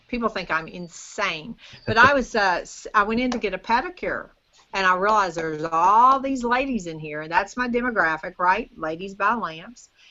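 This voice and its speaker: An ordinary speaking voice at a moderate pace, with lively intonation and big swings in loudness. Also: woman, medium pitch for a woman. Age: 50s. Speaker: business owner selling lamps to retailers. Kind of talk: casual interview chat. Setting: video call.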